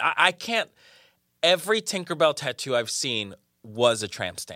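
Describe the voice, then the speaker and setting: Bright and sharp in tone, a man speaks in an animated way at a moderate pace with very wide pitch swings, in a very clean, dry, close recording with no echo and a silent background. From Colombia. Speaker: actor. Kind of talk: casual chat.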